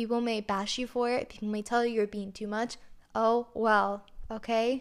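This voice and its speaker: A woman speaks at a moderate pace in a fairly high pitch. Her intonation is flat and monotone, and the recording is very clean with a silent background. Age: 20s. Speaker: podcast host and princess performer. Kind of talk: casual monologue.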